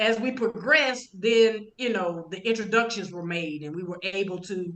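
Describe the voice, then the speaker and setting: With an American accent, a woman talks at a fairly quick pace in a bright, sharp tone with ordinary pitch variation. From US South, Georgia. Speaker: streaming network owner. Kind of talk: podcast interview. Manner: casual, conversational.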